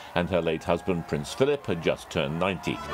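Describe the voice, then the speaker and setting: Music plays in the background as a man speaks with very wide pitch swings. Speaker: news contributor. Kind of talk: news commentary segment.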